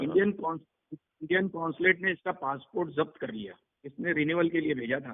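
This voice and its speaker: A man speaks with a high voice and ordinary pitch variation. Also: moderate pace. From Mumbai, India. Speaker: underworld crime boss. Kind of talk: interview answer. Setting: phone line.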